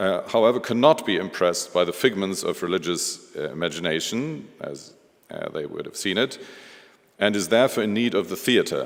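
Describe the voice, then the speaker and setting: A man with a German accent talks at a moderate pace with lively intonation. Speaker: museum director. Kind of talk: lecture. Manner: halting, many fillers.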